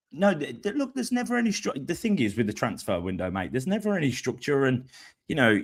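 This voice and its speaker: This recording is very clean, its background silent. The voice belongs to a man. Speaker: football podcast host. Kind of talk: casual chat. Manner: relaxed; animated.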